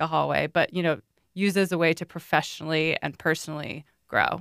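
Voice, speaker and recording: A woman's fairly low voice with vocal fry, fairly even intonation, and a dry, close sound with no echo. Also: very clean recording, silent background. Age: 30s. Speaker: podcast host. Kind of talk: casual interview.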